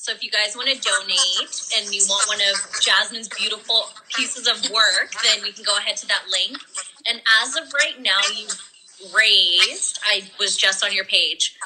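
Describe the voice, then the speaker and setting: Fairly high-pitched woman's voice at a moderate pace, fairly even intonation, noticeable background noise. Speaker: podcast co-host. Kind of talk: casual live chat interview. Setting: live video call.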